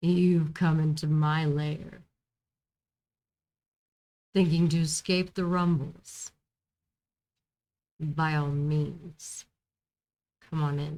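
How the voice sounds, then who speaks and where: A put-on character voice growls at a middle pitch, very slow and monotone, with long, frequent pauses. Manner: imposing, regal.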